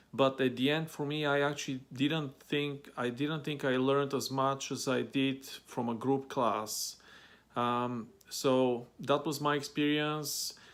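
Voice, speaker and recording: This man speaks with a Bulgarian accent at a fairly high pitch. His intonation is monotone and flat. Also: fairly slow pace. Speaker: vlogger. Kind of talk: advice vlog. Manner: many fillers and hesitations.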